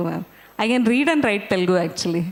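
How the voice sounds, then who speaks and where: With a Marathi accent, a woman speaks over noticeable background noise. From India, Bangalore. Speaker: invited guest speaker. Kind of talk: casual talk to students.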